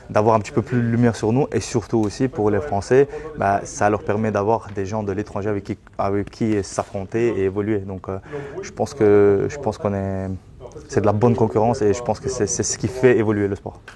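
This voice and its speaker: Fairly low in pitch, a man talks at a fairly quick pace with fairly even intonation. Noticeable background noise sits behind him. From Belgium. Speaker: MMA coach. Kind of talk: interview.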